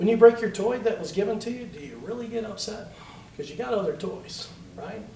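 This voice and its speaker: Over noticeable background noise and audible room echo, a man speaks at a fairly quick pace in an animated tone. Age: 50s. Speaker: political candidate. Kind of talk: political forum.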